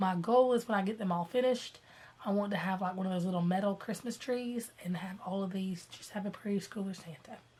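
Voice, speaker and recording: A woman is talking, her intonation fairly even. Noticeable noise sits behind her. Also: medium pitch for a woman, fairly quick pace. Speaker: cross-stitch vlogger. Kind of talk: casual talk to camera.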